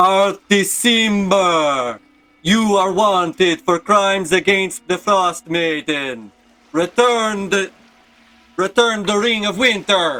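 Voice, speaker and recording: Using a put-on character voice pitched high, a man shouts at a very slow pace. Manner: shouting, accusatory.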